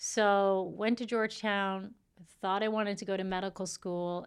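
On a very clean recording with a silent background, a woman speaks at a fairly slow pace with a normal speaking voice. Her pitch is medium and her intonation fairly even. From Saskatchewan, Canada, Filipino family. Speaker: cell biologist and mother. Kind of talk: interview, personal story.

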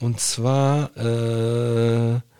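This man is heard with a dry, close sound that has no echo. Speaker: podcast co-host. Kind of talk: casual chat. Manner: animated.

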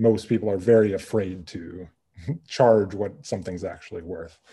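Somewhat breathy with a dark, mellow tone, a man speaks at a moderate pace and a fairly low pitch. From US Midwest. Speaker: furniture maker and business owner. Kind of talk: interview.

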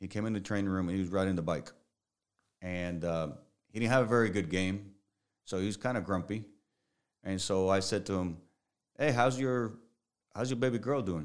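A man with a Spanish accent talks at a fairly quick pace in a fairly low pitch with ordinary pitch variation. Long, frequent pauses break up his speech on a very clean recording with a silent background. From Puerto Rico. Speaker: strength and conditioning coach. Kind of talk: casual interview chat.

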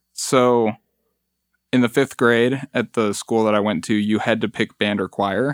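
In a dry, close sound with no echo and a very clean recording over a silent background, a man with a Midwestern US accent speaks at a fairly slow pace in a medium pitch and a monotone, flat intonation. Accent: US Midwest. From Metro Detroit, Michigan. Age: 20s. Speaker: musician. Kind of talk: casual chat. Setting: studio.

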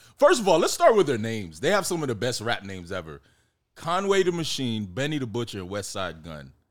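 A man talks at a moderate pace with an American accent. His pitch swings very widely on a very clean recording with a silent background. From Miami, Florida (Jamaican parents). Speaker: independent filmmaker and screenwriter. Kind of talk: casual chat.

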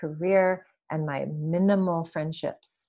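A woman speaks with an American accent at a fairly low pitch. Her tone is dark and mellow, and her pace is fairly slow. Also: very clean recording, silent background. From US Midwest, Detroit suburbs. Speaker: yoga teacher and healer. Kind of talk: interview conversation.

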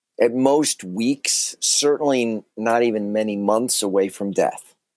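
A man speaks at a very slow pace in an American accent, his pitch medium with ordinary variation. The recording is very clean, with a silent background. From US Midwest (Chicago). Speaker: author and banker. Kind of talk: interview.

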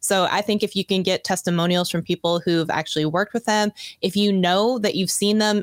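With a plain, everyday voice, a woman speaks fairly low for a woman at a fairly quick pace. The sound is dry and close with no echo on a very clean recording with a silent background. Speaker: YouTube coach. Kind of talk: casual interview chat.

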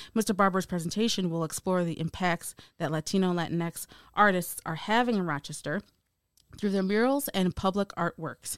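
A woman talks at a fairly quick pace in a medium pitch with ordinary pitch variation, a normal speaking voice. The recording is very clean, with a silent background and a dry, close sound with no echo. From United States. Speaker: podcast host and film producer. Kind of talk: casual chat; scripted narration.

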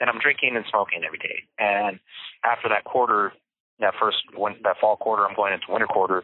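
Here is a man with an ordinary speaking voice and fairly low pitch. He talks at a fairly quick pace with fairly even intonation. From California (Bakersfield), Mexican-American family. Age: 30s. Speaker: formerly incarcerated man sharing his life story. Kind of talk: personal testimony in interview. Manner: conversational with many fillers.

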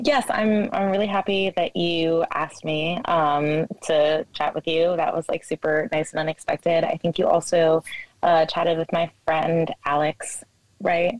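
In a dry, close sound with no echo, a woman speaks slowly at a fairly low pitch with fairly even intonation. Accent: American. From New Jersey. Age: 20s. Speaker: barista. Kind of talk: casual chat.

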